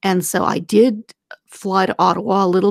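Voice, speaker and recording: A woman speaks in a monotone with flat intonation. The sound is dry and close, with no echo. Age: 50s. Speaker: senator. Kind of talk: casual interview chat.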